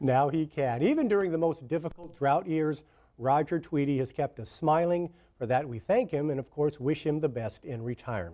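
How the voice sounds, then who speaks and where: Dark and mellow in tone, a man's voice sits at a fairly high pitch. He talks at a moderate pace with ordinary pitch variation. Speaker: news anchor. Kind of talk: TV news report narration.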